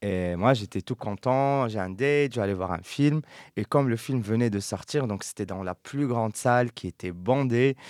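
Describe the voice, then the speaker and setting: A man speaks in a normal speaking voice at a moderate pace, with medium pitch and ordinary pitch variation. The sound is dry and close with no echo, on a very clean recording with a silent background. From Morocco. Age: young. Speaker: podcast host. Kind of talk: casual chat.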